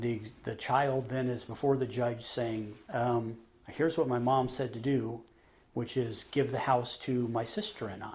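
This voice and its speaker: In a plain, everyday voice, a man speaks with fairly even intonation, a medium pitch and a moderate pace. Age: 50s. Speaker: trust officer. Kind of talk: interview.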